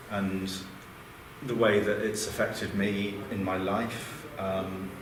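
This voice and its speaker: A man talks very slowly at a fairly low pitch, in a monotone, flat delivery. Audible room echo and noticeable background noise surround his voice. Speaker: academic panel presenter. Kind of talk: conference talk.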